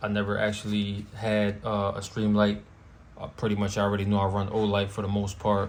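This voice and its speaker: Monotone, flat intonation from a man of fairly low pitch at a fairly quick pace, with audible room echo. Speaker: firearms YouTuber. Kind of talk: casual product show-and-tell. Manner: casual, with frequent fillers.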